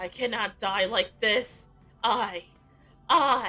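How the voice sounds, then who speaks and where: Using a put-on character voice, a female-sounding voice speaks very slowly at a medium pitch, raised and projected. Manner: desperate, anguished.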